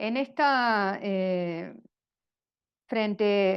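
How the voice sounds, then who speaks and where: A woman talks at a medium pitch with ordinary pitch variation. Behind her the background is quiet. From Argentina. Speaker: religious sister, speaker on governance. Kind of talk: lecture. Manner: halting, many fillers.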